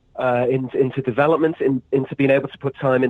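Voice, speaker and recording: With an American accent, a man talks at a medium pitch with fairly even intonation. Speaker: pro wrestler. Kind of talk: podcast interview. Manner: halting, many fillers and repeats.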